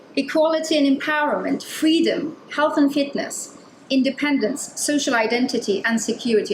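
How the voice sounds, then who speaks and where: A loud voice at a moderate pace with ordinary pitch variation, amid noticeable background noise and audible room echo. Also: woman. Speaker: design researcher giving a talk. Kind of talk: conference talk.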